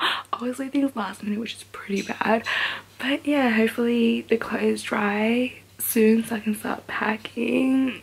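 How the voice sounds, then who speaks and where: A woman with a fairly high voice speaks in a fairly even tone over noticeable background noise. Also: big swings in loudness. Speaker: vlogger. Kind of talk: casual vlog chat.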